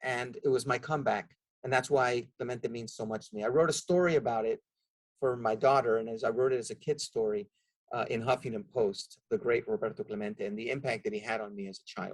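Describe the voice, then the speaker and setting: A man speaks with a Spanish accent at a medium pitch. His pace is fairly quick, and his pitch variation is ordinary. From Nicaragua (Managua), raised in the US from age six. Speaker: nonprofit executive. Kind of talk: podcast interview.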